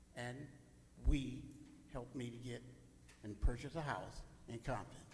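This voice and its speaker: A somewhat breathy man speaks at a moderate pace and medium pitch, his loudness swinging widely, with audible room echo. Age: 70s. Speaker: public commenter at council meeting. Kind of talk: public comment speech. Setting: city council chamber. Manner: animated.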